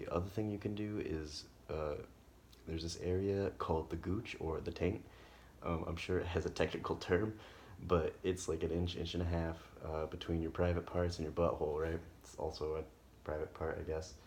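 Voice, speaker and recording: The voice is quiet and somewhat breathy, with monotone, flat intonation. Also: man, very deep, low pitch for a man, moderate pace. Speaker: health practitioner. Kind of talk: casual instructional talk. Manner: quiet, hushed.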